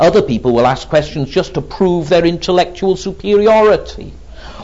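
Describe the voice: The intonation moves in a lively way. The delivery is plain reading aloud.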